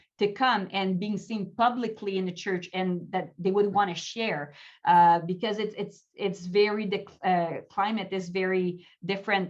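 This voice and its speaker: A woman in a Quebec accent, medium pitch, at a fairly slow pace. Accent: Québécois French accent, fairly strong. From Quebec, Canada. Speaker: pastor and life coach. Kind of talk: interview.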